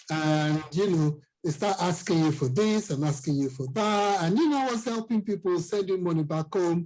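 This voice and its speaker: A man with a Nigerian accent speaks at a high pitch with very even loudness and hardly any pauses. The recording is very clean, with a silent background. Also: ordinary pitch variation, moderate pace. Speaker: financial coach. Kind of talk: interview.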